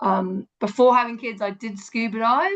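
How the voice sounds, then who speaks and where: The speaker has an English accent. The background is quiet. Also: woman. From Hong Kong, then England. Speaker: environmental educator. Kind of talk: online presentation. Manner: hesitant, many fillers.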